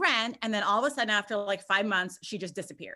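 A woman's bright, sharp, energetic voice, fairly high in pitch, on a very clean recording with a silent background. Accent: Californian. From Southern California. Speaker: real estate investor. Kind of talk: interview.

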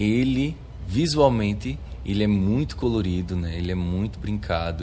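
Amid audible room echo, a man speaks at a fairly slow pace in a very deep, low pitch. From Arcoverde, Pernambuco sertão, Brazil. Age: 20s. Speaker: samba de coco master and activist. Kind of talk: interview testimony. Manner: halting, with frequent repetitions.

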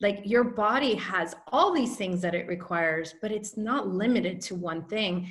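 A woman talks at a fairly slow pace with a somewhat breathy voice. Her tone is animated and her intonation lively. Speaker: podcast host. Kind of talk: interview.

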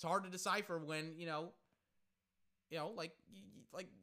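Raised and projected, the voice carries a bright, sharp tone. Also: man. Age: 20s. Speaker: podcast host casting a basketball watch-along. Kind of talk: casual solo chat; live sports commentary. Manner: halting, many fillers and repetitions.

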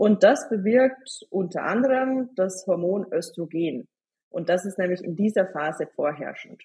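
Somewhat breathy and dark, mellow in tone, a woman's medium-pitched voice moves at a fairly slow pace with lively intonation. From Bavaria, Germany. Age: 20s. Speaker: hormone and nutrition expert. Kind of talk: podcast interview.

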